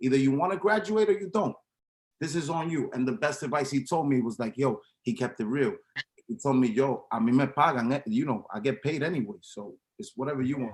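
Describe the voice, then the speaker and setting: A man with an American accent talks at a fairly quick pace in a fairly high pitch, with lively intonation and big swings in loudness. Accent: Dominican New York English. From New York City, Washington Heights. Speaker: club promoter and sneaker reseller. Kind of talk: interview.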